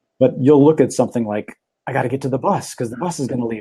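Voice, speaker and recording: A man's dark, mellow voice at medium pitch, very fast pace and ordinary pitch variation. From Minnesota, Minneapolis. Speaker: talk show host and magician. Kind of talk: casual chat.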